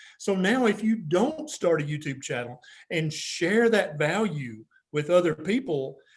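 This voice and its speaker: A man with an American accent speaks at a high pitch. His intonation rises and falls in a lively way. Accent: noticeable regional accent, own remark. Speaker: physician and YouTube health educator. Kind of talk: interview. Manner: animated.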